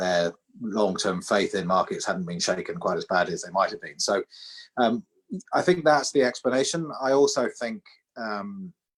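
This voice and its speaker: A man with a British accent, recorded with a dry, close sound and no echo. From UK. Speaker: financial regulator chief executive. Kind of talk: interview on an online seminar. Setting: video call.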